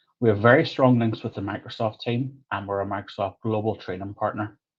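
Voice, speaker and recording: In a Northern Irish accent, a man talks with a fairly low, somewhat breathy voice and fairly even intonation against a quiet background. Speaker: product manager and coding trainer. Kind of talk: conference presentation. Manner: hesitant with fillers.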